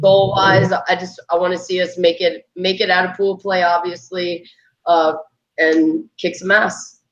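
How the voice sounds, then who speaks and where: Her pace is fairly slow. The woman speaks at a medium pitch with monotone, flat intonation. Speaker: softball player. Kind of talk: casual chat.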